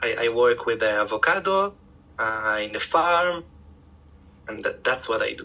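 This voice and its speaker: With an Israeli accent, a man speaks at a moderate pace in a fairly high pitch, his voice making very wide pitch swings between long, frequent pauses. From Israel, Tel Aviv. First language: Hebrew. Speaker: farmer, former educator. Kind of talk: interview. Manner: halting, many hesitations.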